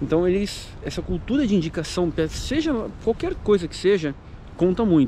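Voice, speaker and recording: The man's voice is high-pitched, with ordinary pitch variation. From Brazil, São Paulo. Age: 30s. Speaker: YouTuber, immigrant vlogger. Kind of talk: casual vlog monologue. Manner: casual, hesitant with fillers.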